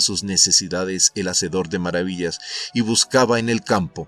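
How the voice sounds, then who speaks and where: With music in the background, a man talks at a fairly slow pace in a dry, close sound with no echo. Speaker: narrator. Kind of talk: audiobook summary narration.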